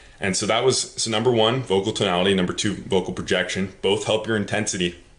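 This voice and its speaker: A man's fairly low voice races along at a very fast pace, with noticeable noise in the background. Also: fairly even intonation. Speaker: communication skills coach. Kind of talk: tutorial. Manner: few pauses.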